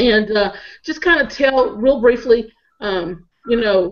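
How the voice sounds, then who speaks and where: Very slow speech with ordinary pitch variation and a slight Southern US accent. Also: woman. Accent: Southern drawl, slight. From Northeast Tennessee. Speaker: marketer and panel host. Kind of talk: panel discussion.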